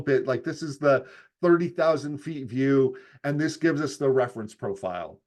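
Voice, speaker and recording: A man moves at a fairly quick pace, his pitch varying in an ordinary way. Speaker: HR assessment presenter. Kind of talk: presentation. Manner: fast.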